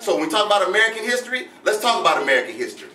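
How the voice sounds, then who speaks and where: A man with an extremely high pitch talks at a very fast pace in an animated tone, with audible room echo and noticeable background noise. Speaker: history lecturer. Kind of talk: lecture to live audience.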